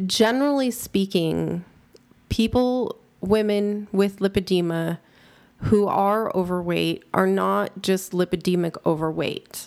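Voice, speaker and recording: A woman with a normal speaking voice at medium pitch talks at a fairly slow pace, using ordinary pitch variation and very even loudness. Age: 40s. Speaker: patient advocate. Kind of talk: interview.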